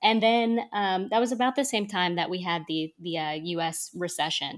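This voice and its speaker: Recorded very cleanly with a silent background, a woman speaks at medium pitch and a moderate pace, her intonation lively. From North Texas. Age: 30s. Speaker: scuba instructor and podcaster. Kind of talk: casual interview. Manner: hesitant with many fillers.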